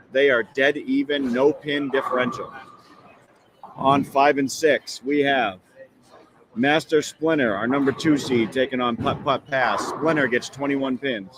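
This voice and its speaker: A fairly high-pitched man at a fairly slow pace, fairly even intonation, noticeable background noise behind him. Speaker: bowling stream host and bowler. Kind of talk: live sports commentary. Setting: bowling alley, live stream. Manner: casual, some hesitations.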